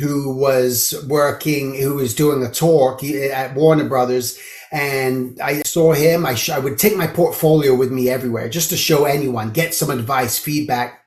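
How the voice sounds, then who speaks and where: Someone speaks with an American accent at a fairly slow pace, with fairly even intonation and hardly any pauses. Noticeable background noise and audible room echo are present. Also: man, fairly high pitch for a man. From London, England. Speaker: animation character designer and art teacher. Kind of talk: podcast interview. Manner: conversational, casual storytelling.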